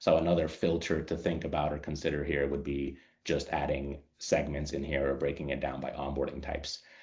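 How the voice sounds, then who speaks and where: A man's very deep, low, monotone voice with vocal fry, fairly quick and with hardly any pauses, in audible room echo. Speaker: customer onboarding specialist leading a training webinar. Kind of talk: software tutorial webinar. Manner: fast.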